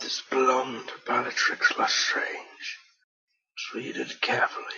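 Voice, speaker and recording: A put-on character voice, extremely high in pitch, moves at a moderate pace. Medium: machinima.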